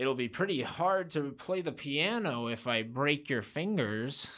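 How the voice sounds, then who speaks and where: A man puts on a croaky character voice at a fairly high pitch. He goes at a fairly slow pace with lively intonation. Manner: threatening, deadpan.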